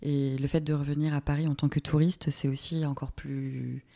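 The speech runs at a fairly slow pace, the sound dry and close with no echo, in a very clean recording with a silent background. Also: woman. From Normandy, France. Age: 20s. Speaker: art director. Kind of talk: interview. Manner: hesitant, many fillers.

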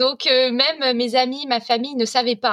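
A woman's high-pitched voice. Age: 30s. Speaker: food blogger. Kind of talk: casual chat.

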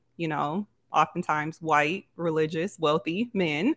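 A woman with an American accent speaks in a dry, close sound with no echo. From Grand Rapids, Michigan. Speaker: content creator and entrepreneur. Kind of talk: casual interview.

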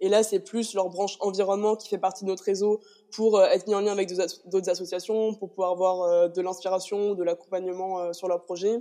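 In a dark, mellow tone, a woman speaks with monotone, flat intonation. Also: medium pitch for a woman, fairly quick pace. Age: 20s. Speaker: student association president. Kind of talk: interview.

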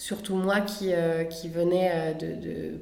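A woman speaks at medium pitch in a monotone, flat way. Noticeable background noise and audible room echo surround her. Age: 30s. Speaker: podcast guest. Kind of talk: casual interview chat. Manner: hesitant with many fillers.

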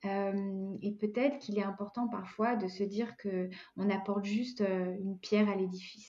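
A woman's fairly high, dark and mellow voice at a fairly slow pace, with fairly even intonation. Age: 40s. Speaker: life coach. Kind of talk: interview.

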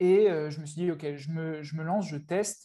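A man's fairly high voice with a dark, mellow tone. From France. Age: 20s. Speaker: online entrepreneur, agency owner. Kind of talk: casual interview.

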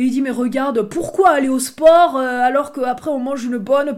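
Her voice sits high and moves through ordinary variation in pitch. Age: 20s. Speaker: podcast host, human design coach. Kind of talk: casual solo monologue. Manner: hesitant, many fillers.

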